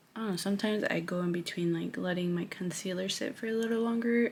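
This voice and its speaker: A soft-spoken woman talks at a medium pitch. Her pitch varies in an ordinary way. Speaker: beauty vlogger and hairstylist. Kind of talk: makeup tutorial. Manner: casual.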